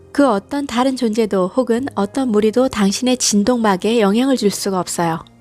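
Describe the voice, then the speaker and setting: Music plays behind a woman with a fairly high voice. She speaks at a moderate pace with ordinary pitch variation. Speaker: hypnosis and guided meditation channel host reading affirmations. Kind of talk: guided hypnosis / affirmation reading.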